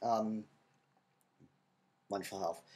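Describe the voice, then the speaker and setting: A quiet male voice. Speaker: college student video blogger. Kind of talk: video diary. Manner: casual, filler-heavy.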